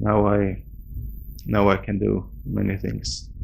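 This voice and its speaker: A man speaks with a Swedish accent. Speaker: game developer. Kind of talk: interview. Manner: halting.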